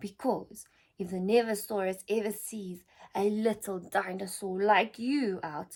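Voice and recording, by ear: Reading aloud in a natural voice, the intonation fairly even throughout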